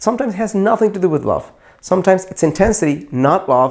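Nothing much stirs in the quiet background. A man is the one talking. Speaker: dating coach. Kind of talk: advice talk to camera. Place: studio. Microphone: lapel.

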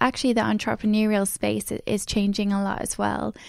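On a very clean recording with a silent background, a woman talks at a moderate pace. Hers is an unremarkable speaking voice at medium pitch. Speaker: podcast host. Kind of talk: interview, podcast host. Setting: studio.

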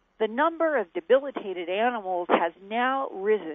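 In an ordinary speaking voice, a woman at medium pitch talks at a fairly slow pace with lively intonation. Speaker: science journalist. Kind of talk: news report.

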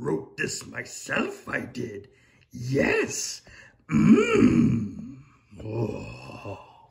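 A man puts on a cartoonish character voice. He speaks at a very slow pace. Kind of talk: comedy puppet sketch. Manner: inverted word order, croaky, ponderous.

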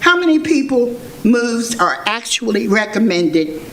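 A woman with a fairly high pitch and lively intonation speaks at a very slow pace, with audible room echo and noticeable background noise. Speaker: public commenter at a hearing. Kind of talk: public hearing testimony. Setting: public hearing room, speaking at a microphone.

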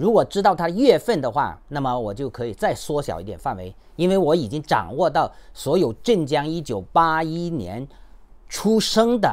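Speaking at a moderate pace, a man with a fairly high pitch lets his voice swing very widely up and down. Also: quiet background. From China, Henan. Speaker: YouTuber and human rights activist; activist commentator. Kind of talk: commentary monologue. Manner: halting, many fillers. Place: home room. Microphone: phone near.

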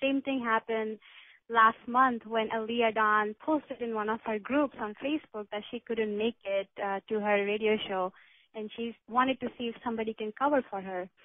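A woman speaks in a normal speaking voice at a moderate pace. Her pitch is fairly high and her intonation fairly even. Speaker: psychic medium. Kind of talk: intuitive readings for callers. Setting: video call.

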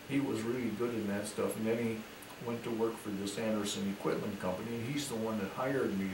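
A man talks while noticeable background noise carries on. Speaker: retired businessman, interviewed grandfather. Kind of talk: interview answer, recounting personal history. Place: home room. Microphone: camera far.

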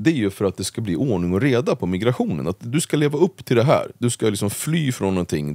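Medium-pitched voice of a man with very wide pitch swings, dry and close with no echo, on a very clean recording with a silent background. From Sweden, Uppsala (Gottsunda). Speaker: political commentator. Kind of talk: casual interview.

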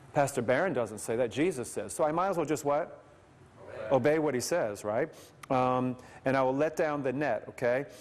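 There is a plain, everyday voice at a moderate pace with ordinary pitch variation. Light background noise can be heard. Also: man, fairly high pitch for a man. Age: 50s. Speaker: evangelist. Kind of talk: sermon. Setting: stage with audience. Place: church. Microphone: podium.

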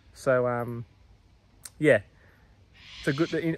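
A man speaks over music in the background. The sound is dry, with no echo. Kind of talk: casual vlog chat. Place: garden. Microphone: phone near.

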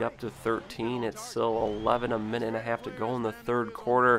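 With monotone, flat intonation and hardly any pauses, the speech runs over noticeable background noise. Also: man. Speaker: gaming YouTuber. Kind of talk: gameplay commentary. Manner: casual play-by-play narration.

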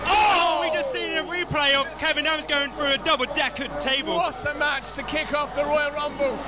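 A man delivers his words at a fairly quick pace while clear music plays behind him. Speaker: podcast host.

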